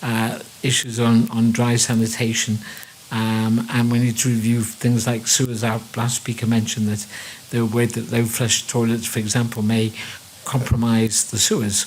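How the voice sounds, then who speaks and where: A man's medium-pitched voice with a Liverpool accent, flat monotone delivery at a moderate pace, and noticeable background noise. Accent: Liverpool (Scouse). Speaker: water engineer, panelist. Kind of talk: panel discussion remarks.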